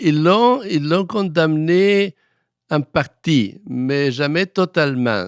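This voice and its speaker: A man with a Spanish accent, fairly high-pitched, with lively intonation, on a very clean recording with a silent background. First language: Spanish (speaking French). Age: 80s+. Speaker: historian. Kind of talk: interview. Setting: studio. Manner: halting.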